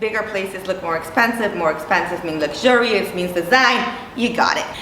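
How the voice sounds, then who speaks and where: Amid noticeable background noise and audible room echo, a woman speaks in an animated tone at a moderate pace, her pitch swinging very widely. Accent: Italian. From Italy. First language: Italian. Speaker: interior designer. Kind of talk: tutorial. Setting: studio.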